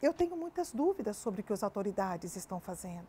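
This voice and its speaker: Her tone dark and mellow, a woman speaks at a moderate pace with very wide pitch swings. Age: 60s. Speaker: judge. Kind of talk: interview. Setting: studio. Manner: animated.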